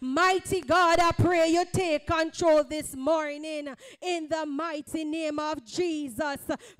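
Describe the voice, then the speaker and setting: In the background, music plays. The speaking pace is very slow. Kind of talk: fervent public prayer. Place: church.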